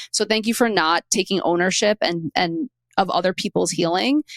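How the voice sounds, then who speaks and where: With a strong Queens accent, a woman speaks with lively intonation. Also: dry, close sound with no echo. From New York City (Queens). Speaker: podcast host. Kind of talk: interview. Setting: studio.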